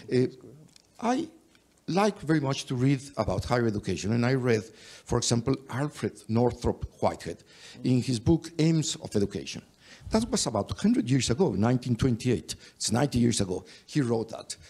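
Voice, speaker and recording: Lively intonation and a Mexican accent mark this dark, mellow voice, which moves at a fairly quick pace. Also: man, medium pitch for a man. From Mexico. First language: Spanish. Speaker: higher education expert, panelist. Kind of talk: panel discussion. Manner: halting.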